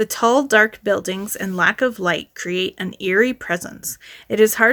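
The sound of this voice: An unforced reading voice. Its pitch varies in an ordinary way.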